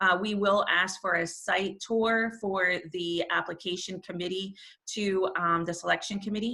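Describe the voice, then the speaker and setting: A woman speaks loudly in a New York accent, her tone bright and sharp at a medium pitch. Her intonation is monotone and flat, at a moderate pace. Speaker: nonprofit volunteer leader. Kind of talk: online information session presentation. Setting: video call.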